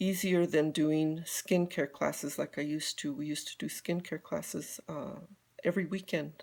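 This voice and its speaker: This very clean recording with a silent background features a woman with an American accent and a very deep, low pitch. She keeps a moderate pace and fairly even intonation. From US Southwest, southern Colorado. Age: 50s. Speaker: beauty consultant. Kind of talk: casual live stream talk. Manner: halting.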